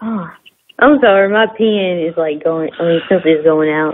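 Lively intonation carries the speech over light background noise. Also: woman. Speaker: caller. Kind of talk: phone question to host; casual conversation on call. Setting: phone call. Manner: halting. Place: home room. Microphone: video call.

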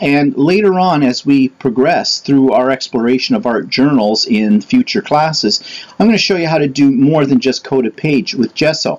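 Speaking at a moderate pace, a man hardly pauses at all. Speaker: art class instructor. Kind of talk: tutorial. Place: workshop. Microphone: camera far.

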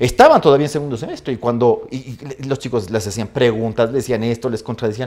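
Here a man is talking. His pace is very fast. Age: 50s. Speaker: law professor. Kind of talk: casual interview. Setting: studio. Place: studio. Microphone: lapel.

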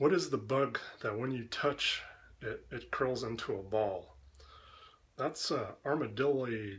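A man speaks with a somewhat breathy voice. He leaves long, frequent pauses. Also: medium pitch for a man, ordinary pitch variation. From Canada. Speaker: video creator doing an accent tag. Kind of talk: comedic accent tag answers. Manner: joking, playful. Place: kitchen. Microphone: webcam.

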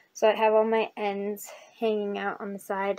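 Light background noise runs beneath a woman as she talks. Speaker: crochet vlogger. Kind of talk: casual vlog chat. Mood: cheerful, relaxed. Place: home room. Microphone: webcam.

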